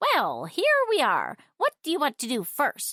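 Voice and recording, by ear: Using a put-on character voice, a woman speaks at a fairly slow pace.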